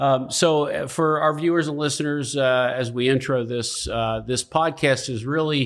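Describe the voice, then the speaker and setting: A man speaks, his intonation fairly even. Behind him, there is music. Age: 50s. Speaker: podcast host. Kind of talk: casual interview.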